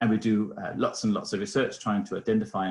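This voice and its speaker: Talking at a very fast pace, a man speaks with a slight Danish accent. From Denmark. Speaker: innovation foundation researcher. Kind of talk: webinar presentation. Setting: video call webinar. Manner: hesitant, many fillers.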